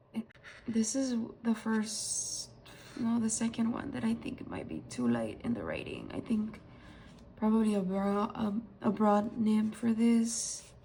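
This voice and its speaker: Over noticeable background noise, a woman speaks at a fairly slow pace in a monotone, flat intonation, with long, frequent pauses. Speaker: stationery and fountain pen ink reviewer. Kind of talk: casual product review haul. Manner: hesitant, many fillers.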